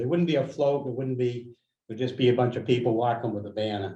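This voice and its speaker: Somewhat breathy and dark, mellow in tone, a man talks with an American accent. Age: 60s. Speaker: community organizer. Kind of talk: meeting discussion.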